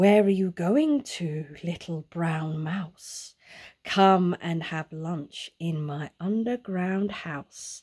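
Using a put-on character voice, a woman speaks at a fairly low pitch. Her pace is very slow. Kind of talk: bedtime story. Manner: smooth, wheedling, then alarmed.

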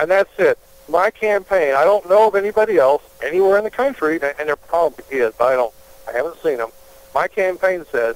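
Someone talks at a fairly quick pace with lively intonation, the sound dry and close with no echo and noticeable background noise behind it. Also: man. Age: 50s. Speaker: congressional candidate. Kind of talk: interview.

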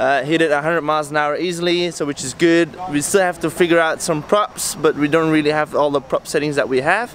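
A man's moderately paced voice, fairly even in intonation, dry with no echo and light background noise. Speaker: boat team member vlogger. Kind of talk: casual vlog chat. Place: street. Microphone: phone near.

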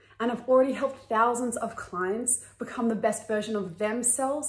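Fairly even intonation, with audible room echo. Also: woman. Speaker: wellness course creator.

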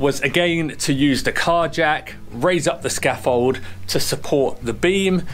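Faint music sits in the background while a man speaks at a fairly slow pace. His loudness stays very even, with ordinary pitch variation. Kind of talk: casual vlog explanation. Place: open country.

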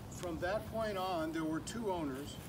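Noticeable background noise behind a male speaker. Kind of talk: walkaround commentary. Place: garden. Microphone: camera far.

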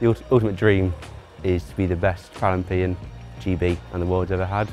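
With faint music in the background, a man with a Mancunian accent talks at a fairly quick pace in a very deep, low pitch with ordinary pitch variation. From Greater Manchester. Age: young. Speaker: para cyclist. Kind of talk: interview answer. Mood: cheerful, ambitious. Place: stadium. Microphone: lapel.

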